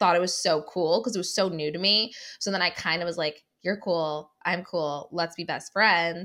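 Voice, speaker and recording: A woman speaks with an American accent in a bright, sharp tone with ordinary pitch variation. The recording is very clean with a silent background. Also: fairly low pitch for a woman, moderate pace. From US Midwest, Cleveland. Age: 20s. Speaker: podcast co-host guest. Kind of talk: casual chat.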